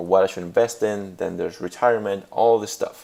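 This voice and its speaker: In a Spanish accent, a man talks at a fairly quick pace. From Puerto Rico. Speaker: graduate student. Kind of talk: class presentation. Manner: hesitant, many fillers.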